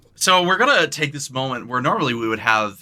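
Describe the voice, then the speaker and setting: A man speaks with a bright, sharp tone. His pitch swings very widely. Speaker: podcast co-host. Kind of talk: casual chat. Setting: live stream with online audience. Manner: loud.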